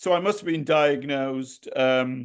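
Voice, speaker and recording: A man's lively intonation stands out over a quiet background. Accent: Welsh. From Wales. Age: 70s. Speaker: poet and retired architect. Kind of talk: interview. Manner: halting, many fillers.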